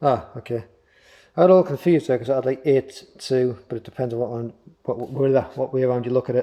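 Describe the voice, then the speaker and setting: A man mumbling at a very fast pace, medium in pitch, with ordinary pitch variation. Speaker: motorcycle DIY youtuber. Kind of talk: tutorial.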